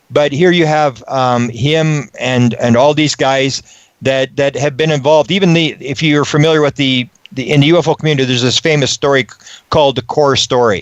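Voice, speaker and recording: A normal speaking voice from a man, fairly high in pitch and fairly quick, with fairly even intonation and a dry, close sound with no echo. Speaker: ufology researcher, interview guest. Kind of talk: radio interview answer, conversational storytelling.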